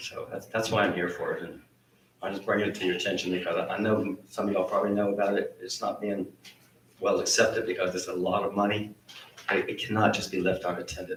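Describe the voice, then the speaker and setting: A very fast-talking man with an American accent, amid noticeable background noise. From Northern Virginia. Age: 60s. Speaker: resident speaking at public comment. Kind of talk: public comment at town meeting. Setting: town planning commission meeting. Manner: animated.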